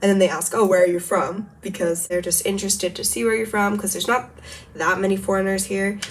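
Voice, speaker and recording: A woman with an American accent talks at a very fast pace and medium pitch, her intonation fairly even, over noticeable background noise. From United States. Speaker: language teacher / youtuber. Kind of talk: tutorial. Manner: casual, hesitant with many fillers.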